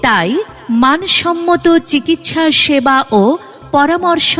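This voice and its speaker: With music in the background, a woman speaks in a high pitch with lively intonation. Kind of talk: loudspeaker advertisement read.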